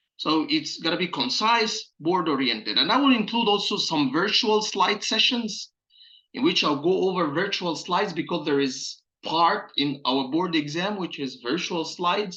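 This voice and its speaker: With an Egyptian accent, a man speaks at a moderate pace and a high pitch. His intonation is lively and his tone bright and sharp. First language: Arabic. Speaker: pathology resident preparing for boards. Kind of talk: channel introduction talk. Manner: hesitant with many filler uhs.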